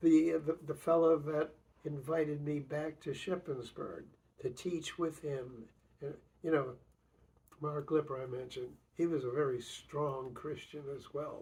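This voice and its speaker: Fairly high-pitched and somewhat breathy, a man talks at a fairly slow pace with fairly even intonation and a dark, mellow tone. He leaves long, frequent pauses. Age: 80s+. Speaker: retired professor being interviewed by grandson. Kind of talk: family oral history interview. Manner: halting, many fillers and repetitions.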